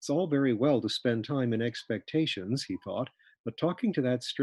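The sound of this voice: The clip features an unforced reading voice. It is heard throughout.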